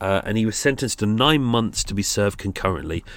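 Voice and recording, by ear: The recording is very clean, with a silent background. A man talks at a fairly quick pace, his fairly low pitch moving in lively intonation.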